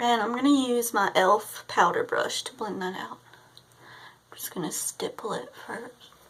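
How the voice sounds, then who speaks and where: A woman at a fairly high pitch with ordinary pitch variation, a moderate pace and big swings in loudness, over noticeable background noise. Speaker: beauty vlogger. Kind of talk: casual tutorial chat.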